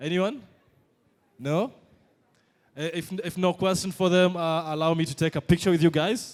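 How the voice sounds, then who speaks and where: This man has a non-native accent and a fairly high pitch with ordinary pitch variation. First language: not French. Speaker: event moderator. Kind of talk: live panel interview. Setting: stage with audience.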